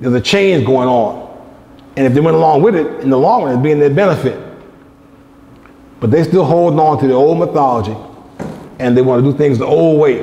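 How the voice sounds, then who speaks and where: A man speaks with long, frequent pauses and ordinary pitch variation. The room echo is audible, and there is noticeable background noise. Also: very even loudness. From United States. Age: 60s. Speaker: lecturer. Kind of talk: lecture.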